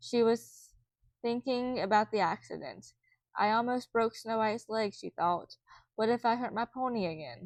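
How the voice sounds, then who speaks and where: This woman has a normal speaking voice, fairly high in pitch. Her pace is moderate and her pitch varies in an ordinary way. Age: 20s. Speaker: amateur reader. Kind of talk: children's book read-aloud.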